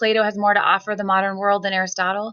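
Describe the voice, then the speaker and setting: Her bright, sharp voice sits at a medium pitch and carries vocal fry. The woman talks at a very fast pace. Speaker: history teacher. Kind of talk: recorded lecture.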